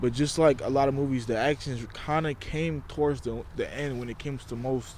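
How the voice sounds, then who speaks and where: Delivered fairly quickly, the speech keeps a fairly even intonation. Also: man, fairly high pitch for a man. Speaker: YouTuber reviewing movies. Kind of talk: casual vlog commentary. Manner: casual, halting with fillers.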